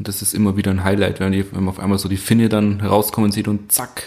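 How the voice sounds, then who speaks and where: A man speaks at a fairly low pitch. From Upper Bavaria, Germany. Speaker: carpenter. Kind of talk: casual chat.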